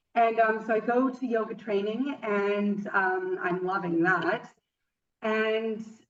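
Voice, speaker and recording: A woman speaks with a fairly high pitch. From western Canada. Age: 30s. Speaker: yoga teacher. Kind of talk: interview. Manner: halting, many fillers.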